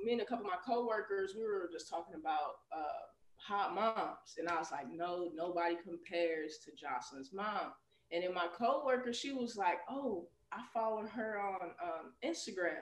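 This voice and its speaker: A woman with an American accent and a normal speaking voice, medium pitch, lively intonation and a moderate pace. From Chicago, US. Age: 30s. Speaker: PE teacher. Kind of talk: casual interview.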